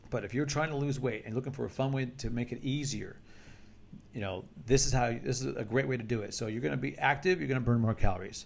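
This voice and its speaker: A man at medium pitch with vocal fry, ordinary pitch variation and a very fast pace. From United States. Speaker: martial arts instructor. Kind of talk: instructional talk to camera. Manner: casual, conversational with repetitions.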